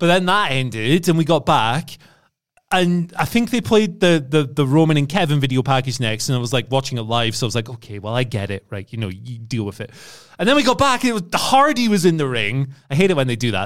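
A man with an English accent talks at a very fast pace in a fairly high pitch. His pitch swings very widely, and the recording is very clean with a silent background. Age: 30s. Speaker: wrestling podcast co-host. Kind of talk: casual chat.

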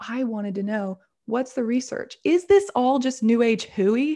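With an American accent, a woman speaks in a dark, mellow, somewhat breathy tone with ordinary pitch variation against a quiet background. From US South. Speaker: intuition coach and business owner. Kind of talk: interview conversation.

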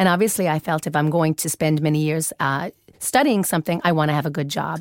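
On a very clean recording with a silent background and a dry, close sound with no echo, a woman speaks at a fairly low pitch with a Newfoundland accent. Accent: Canadian (Newfoundland) English. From Canada, Newfoundland. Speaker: fashion executive. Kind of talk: interview.

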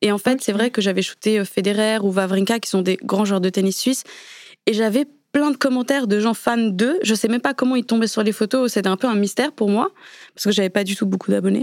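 Speaking at a fairly quick pace, a woman with an unremarkable speaking voice has a fairly high pitch and fairly even intonation. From Switzerland. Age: 20s. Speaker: photographer. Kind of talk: interview. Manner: casual.

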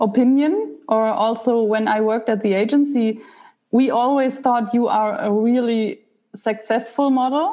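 Her pitch fairly high with ordinary variation, a woman with a German accent speaks in a dark, mellow tone. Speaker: podcast host and mindset coach. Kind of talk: interview.

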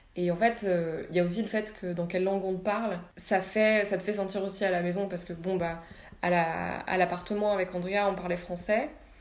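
Room echo is audible as a woman speaks at a medium pitch with fairly even intonation. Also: moderate pace. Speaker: architecture student. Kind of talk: casual chat. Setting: at home.

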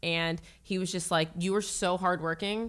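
With an American accent, a woman speaks at a moderate pace in a medium pitch and a bright, sharp tone, in a very clean recording with a silent background. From Northern Virginia, US. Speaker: radio DJ. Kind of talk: casual interview.

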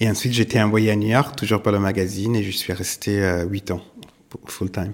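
A man talks at a moderate pace in a fairly low pitch, with fairly even intonation. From southern Italy. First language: Italian (speaking French). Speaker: art gallerist. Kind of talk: interview. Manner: halting, many hesitations.

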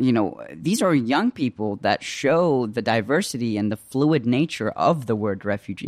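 With hardly any pauses, a man talks in an ordinary speaking voice at medium pitch, his intonation lively, the sound dry and close with no echo. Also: moderate pace. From Iraq (Baghdad), raised in the US. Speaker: podcast host. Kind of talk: interview. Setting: archive interview.

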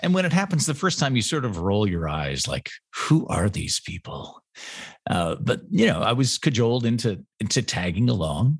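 Against a quiet background, a man with an American accent speaks at a medium pitch and a moderate pace, showing vocal fry and very wide pitch swings. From Washington State. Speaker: wine podcaster and tasting room manager. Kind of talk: casual interview chat. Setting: in-person.

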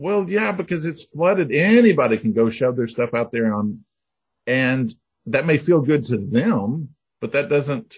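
A somewhat breathy man with an American accent speaks at a fairly high pitch, his voice making very wide pitch swings. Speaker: novelist. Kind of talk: interview.

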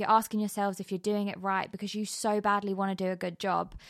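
A woman's medium-pitched voice with a British accent, on a very clean recording with a silent background. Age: 30s. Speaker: podcast host. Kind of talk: podcast trailer monologue. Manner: casual, conversational.

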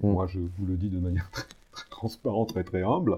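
At a fairly quick pace, a man talks in a very deep, low pitch that is somewhat breathy. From provincial France. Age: 60s. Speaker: lawyer. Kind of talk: interview. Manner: halting, many repetitions and fillers.

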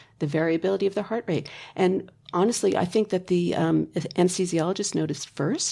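In a very clean recording with a silent background, a woman speaks at a very fast pace. Her dark, mellow tone carries vocal fry and ordinary pitch variation. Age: 60s. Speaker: healing touch practitioner. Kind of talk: interview.

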